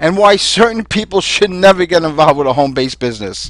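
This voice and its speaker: With a slight Brooklyn accent, a man talks at a high pitch with lively intonation in a dry, close sound with no echo. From New York City (Brooklyn). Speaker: home business distributor. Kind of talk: sales pitch. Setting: webinar.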